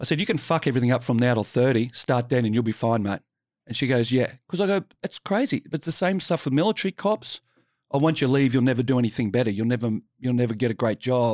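In a very clean recording with a silent background and a dry, close sound with no echo, a man talks very fast at a medium pitch with lively intonation. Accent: Australian. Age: 50s. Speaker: former police officer and mental health speaker. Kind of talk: casual chat.

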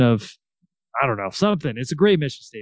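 A man speaks with a Californian accent. The background is quiet. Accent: Californian American English. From Salinas, California. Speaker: author and educator. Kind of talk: interview.

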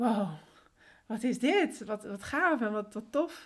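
In a normal speaking voice, a woman with a fairly high pitch talks at a fairly slow pace. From Netherlands, born in Colombia. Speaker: systemic coach. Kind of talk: casual interview.

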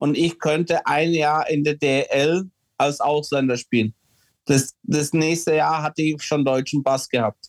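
Heard in a dry, close sound with no echo, a man speaks at a fairly slow pace in a fairly high pitch with fairly even intonation. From Czechoslovakia, moved to Germany at six. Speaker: former ice hockey player. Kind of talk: casual interview. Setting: home office. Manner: hesitant, many fillers.

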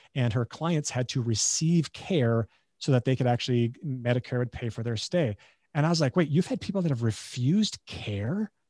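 A man at medium pitch, dark and mellow in tone and somewhat breathy, with lively intonation at a moderate pace, on a very clean recording with a silent background and a dry, close sound free of echo. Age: 40s. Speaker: chiropractor and functional medicine doctor. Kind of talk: casual interview chat.

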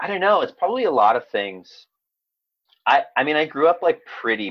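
With very wide pitch swings, a man speaks at a moderate pace. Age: 30s. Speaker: actor and comedian. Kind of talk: casual chat.

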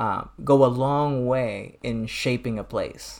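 This man has an unremarkable speaking voice at medium pitch with ordinary pitch variation, speaking with an American accent on a very clean recording with a silent background. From US Midwest (Detroit). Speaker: nonprofit president and doctoral student. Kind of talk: casual chat.

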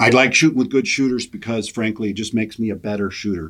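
A man with an American accent talks in an unremarkable speaking voice, fairly low-pitched with ordinary pitch variation, on a very clean recording with a silent background. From US Midwest, western South Dakota. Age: 50s. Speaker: gun rights lobbyist. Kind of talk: casual interview.

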